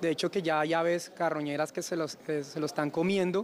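Light background noise accompanies speech delivered at a moderate pace. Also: man. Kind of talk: interview answer. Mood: concerned, serious. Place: street. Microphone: handheld.

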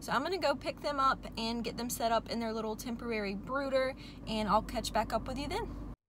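Over noticeable background noise, a woman speaks very fast with ordinary pitch variation. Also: dry sound with no echo. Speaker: farm vlogger. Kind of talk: casual vlog chat. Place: car. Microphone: phone near.

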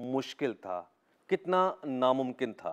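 A man's dramatic voice with very wide pitch swings over a quiet background. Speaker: army officer turned anchor and storyteller. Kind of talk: radio and TV show promo narration. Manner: earnest, dramatic, direct address to the audience. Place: studio. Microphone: lapel.

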